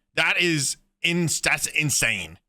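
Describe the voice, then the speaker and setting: In a very clean recording with a silent background, a man speaks at a fairly high pitch in a bright, sharp, animated tone with vocal fry. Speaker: gaming youtuber. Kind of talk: reaction commentary. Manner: halting.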